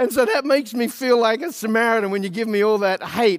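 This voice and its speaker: A man with an Australian accent talks at a fairly quick pace in a high pitch with ordinary pitch variation. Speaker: pastor. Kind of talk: sermon.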